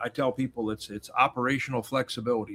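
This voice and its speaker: At a very fast pace, a man speaks in a medium pitch, the sound dry and close with no echo. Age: 60s. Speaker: chef and navy veteran. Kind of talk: interview. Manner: animated.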